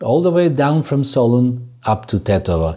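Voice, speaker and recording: A man with a Macedonian accent, dark and mellow in tone, with lively intonation at a moderate pace. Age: 60s. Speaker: folk music teacher and podcast co-host. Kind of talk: casual explanatory chat.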